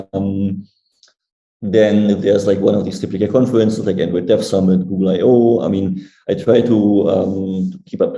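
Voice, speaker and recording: A man's voice with fairly even intonation, music playing in the background. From Germany. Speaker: Android engineer. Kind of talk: interview. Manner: fast.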